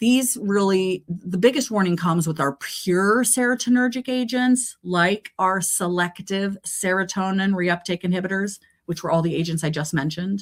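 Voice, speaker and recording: A woman speaks at a medium pitch with ordinary pitch variation. She leaves hardly any pauses. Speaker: pharmacist lecturer. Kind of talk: lecture. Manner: fast.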